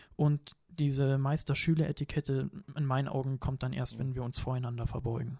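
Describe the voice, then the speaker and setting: A man's somewhat breathy, dark and mellow voice, fairly quick and monotone, with a dry, close sound and no echo. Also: medium pitch for a man. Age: 20s. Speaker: martial arts trainer. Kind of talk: casual chat.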